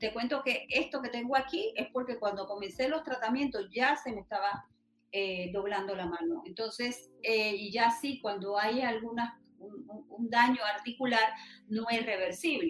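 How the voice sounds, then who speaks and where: This woman has an unremarkable speaking voice with a fairly high pitch. She talks at a fairly slow pace with ordinary pitch variation. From Panama, Los Santos province. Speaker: patient rights activist. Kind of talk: interview.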